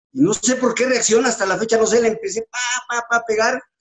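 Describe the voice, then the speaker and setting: The speaker is a man with a high voice. He talks at a fairly quick pace. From Mexico City. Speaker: retired footballer. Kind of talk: interview.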